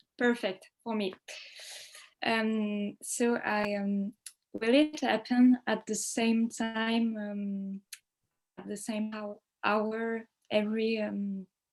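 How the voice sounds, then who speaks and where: Speaking very slowly with long, frequent pauses, a woman with a French accent holds a fairly high pitch in a monotone, flat delivery. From France. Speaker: book club participant. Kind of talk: casual group video chat. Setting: video call. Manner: halting.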